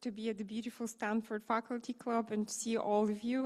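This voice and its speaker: With a Bulgarian accent, a woman talks at a fairly quick pace in a fairly high pitch. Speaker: designer. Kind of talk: conference panel discussion.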